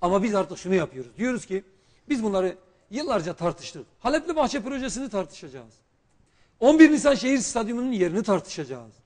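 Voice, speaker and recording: A man talks at a fairly quick pace with a high pitch and very wide pitch swings. The background is quiet. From Turkey, Şanlıurfa; Turkey. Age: 40s. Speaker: politician, former economics professor; politician guest. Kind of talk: TV political interview. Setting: TV studio, live broadcast. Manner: formal. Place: studio. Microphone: lapel.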